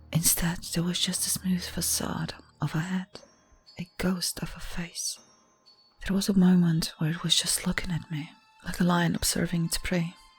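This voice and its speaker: Long, frequent pauses break up the speech. Music plays in the background. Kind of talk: ASMR horror story narration (creepypasta reading). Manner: slow, hushed, relaxing.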